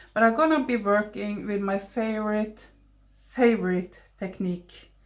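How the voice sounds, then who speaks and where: A woman with a Norwegian accent speaks at a very slow pace in a fairly high pitch, on a very clean recording with a silent background. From Norway. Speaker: watercolor artist. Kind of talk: tutorial. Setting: home studio voiceover. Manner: halting. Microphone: basic equipment, poor sound.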